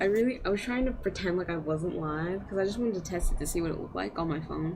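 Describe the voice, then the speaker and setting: Quiet and fairly low in pitch, a woman speaks at a very fast pace with ordinary pitch variation, amid noticeable background noise and audible room echo. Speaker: live streamer. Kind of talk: casual live stream chat. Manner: quiet, keeping voice down.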